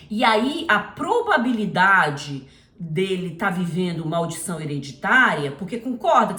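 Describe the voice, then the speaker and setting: Amid noticeable background noise and audible room echo, a woman speaks at a fairly slow pace with a fairly low pitch, an animated tone and lively intonation. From Brazil. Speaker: missionary Bible teacher. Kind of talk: informal Bible teaching.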